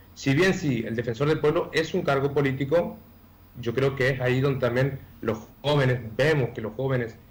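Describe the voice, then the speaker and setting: A man speaks at a moderate pace with ordinary pitch variation. His voice is somewhat breathy. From Argentina, Chaco. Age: 20s. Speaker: candidate for public office. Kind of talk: radio interview. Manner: hesitant, many fillers.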